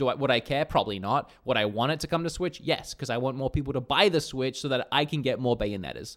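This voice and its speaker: A man talking at a very fast pace with hardly any pauses and ordinary pitch variation. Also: medium pitch for a man. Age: 30s. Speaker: gaming podcast co-host. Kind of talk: casual chat. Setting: remote call, on green screen.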